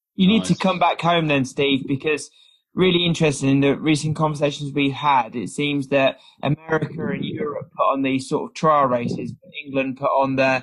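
This man has an ordinary speaking voice, pitched fairly high, with ordinary pitch variation. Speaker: podcast co-host. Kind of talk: casual interview chat.

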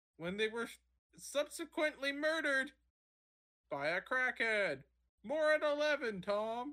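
In a put-on character voice with a high pitch, the speaker goes at a fairly slow pace with long, frequent pauses. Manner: emphasis on the middle of the sentence.

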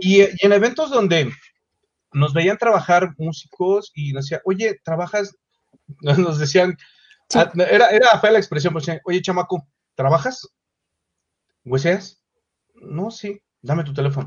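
A high-pitched man with a Mexico City accent speaks at a fairly slow pace with ordinary pitch variation, big swings in loudness, and long, frequent pauses. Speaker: singer. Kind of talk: interview.

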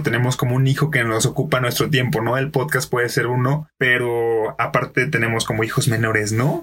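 Fairly quick in pace, a man talks at a medium pitch with fairly even intonation. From Mexico, Colima. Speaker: podcaster and improv performer. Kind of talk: casual chat. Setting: studio.

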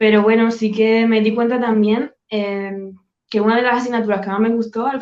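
A woman speaks in a normal speaking voice at a moderate pace. Her intonation is fairly even. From Spain, Badajoz (Extremadura). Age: 30s. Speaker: sales closer. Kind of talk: interview. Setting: video call.

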